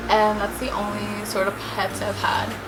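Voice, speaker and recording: A woman speaks in a room with audible echo and noticeable background noise. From New York, US (moved from Bangladesh at five). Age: 20s. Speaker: beauty YouTuber. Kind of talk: casual get-ready-with-me vlog. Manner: chatty, informal.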